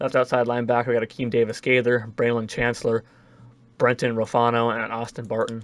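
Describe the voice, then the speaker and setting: A man at a very fast pace, medium in pitch, with monotone, flat intonation. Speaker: gaming YouTuber. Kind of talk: gameplay commentary. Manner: casual.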